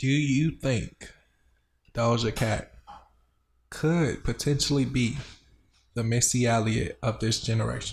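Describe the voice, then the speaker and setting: A somewhat breathy voice with an American accent, a fairly slow pace, long, frequent pauses, and ordinary pitch variation. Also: man, medium pitch for a man. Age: 30s. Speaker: podcast co-host. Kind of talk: casual chat. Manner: animated.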